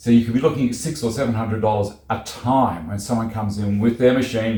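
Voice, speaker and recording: In an Australian accent, a man talks at a fairly quick pace with a medium, somewhat breathy pitch, ordinary pitch variation and audible room echo. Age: 60s. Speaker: YouTuber, DIY homeowner. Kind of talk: casual vlog tutorial.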